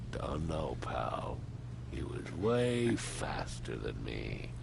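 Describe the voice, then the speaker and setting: Over loud background noise, a man performs a put-on character voice at a very slow pace. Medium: game stream. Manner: blunt, colloquial.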